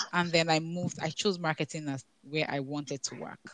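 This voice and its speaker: A woman's voice in dry, close sound with no echo. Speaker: professional in tech policy and marketing. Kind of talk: casual panel discussion. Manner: fast talker.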